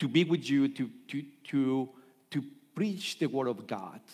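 A man speaks fairly slowly, his intonation lively. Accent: Colombian. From Colombia. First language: Spanish. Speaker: pastor. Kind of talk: sermon. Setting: church. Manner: halting.

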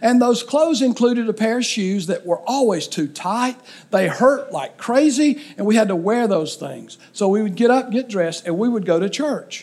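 A moderate pace and lively intonation, in an Alabama accent. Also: man, high pitch for a man. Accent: Southern US (Alabama). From Alabama, US South. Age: 60s. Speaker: pastor. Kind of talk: sermon. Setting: church.

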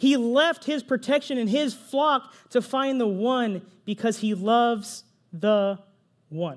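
An animated man with an American accent speaks at an extremely high pitch with ordinary pitch variation. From Texas, Pflugerville. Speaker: pastor. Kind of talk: sermon. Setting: church.

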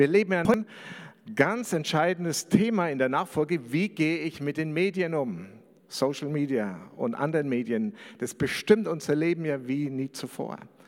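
Using a plain, everyday voice, a man speaks at a moderate pace with lively intonation and a fairly high pitch. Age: 50s. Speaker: pastor. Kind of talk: sermon.

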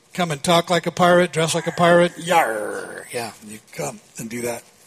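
A man's high voice at a moderate pace over noticeable background noise. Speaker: pastor. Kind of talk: sermon.

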